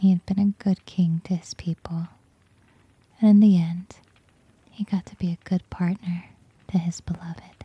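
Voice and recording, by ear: In a dry, close sound with no echo, a woman speaks at a fairly slow pace with long, frequent pauses, a fairly low pitch, little pitch movement and a husky, rough edge.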